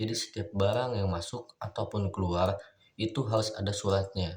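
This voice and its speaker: A man's somewhat breathy, fairly low voice at a moderate pace with fairly even intonation, in a very clean recording with a silent background. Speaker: university student. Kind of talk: mock job interview answers.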